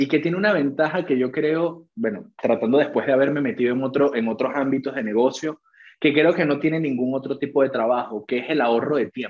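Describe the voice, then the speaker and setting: Here is a man with a plain, everyday voice and a fairly high pitch. He talks at a fairly quick pace with ordinary pitch variation. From Venezuela. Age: 20s. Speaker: entrepreneur and trader. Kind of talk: interview.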